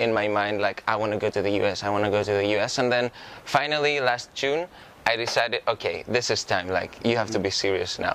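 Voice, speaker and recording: With ordinary pitch variation, a man talks while noticeable noise sits in the background. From Greece, Karditsa. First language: Greek. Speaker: incoming university student. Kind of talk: interview. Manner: halting.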